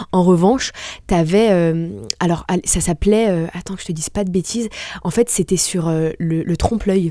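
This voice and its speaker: Fairly low pitch from a woman, at a moderate pace with fairly even intonation. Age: 20s. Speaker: restaurant entrepreneur. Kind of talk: interview. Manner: hesitant, many fillers.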